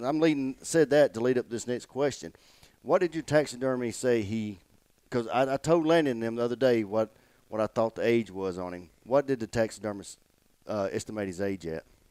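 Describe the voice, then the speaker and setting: A man's dark, mellow voice at medium pitch, with lively intonation and a fairly quick pace. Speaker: podcast host. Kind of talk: casual interview.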